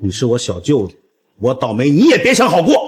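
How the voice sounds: A man puts on a character voice with a husky, rough edge, speaking at a moderate pace at a medium pitch with very wide pitch swings.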